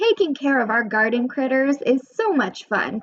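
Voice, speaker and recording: In a put-on character voice, a woman talks at a moderate pace with high pitch, very wide pitch swings and very even loudness. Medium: read story.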